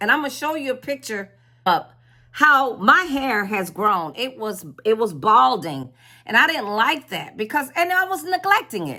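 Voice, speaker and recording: The voice has a bright, sharp tone with vocal fry. Its pitch swings very widely. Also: woman. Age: 60s. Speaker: spiritual content creator. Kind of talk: casual vlog talk. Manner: halting, with repetitions.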